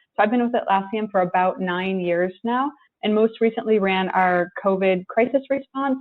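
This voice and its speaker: Speaking at a moderate pace, a woman keeps a medium pitch with ordinary pitch variation. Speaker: tech company executive. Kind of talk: panel presentation. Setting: online discussion from home.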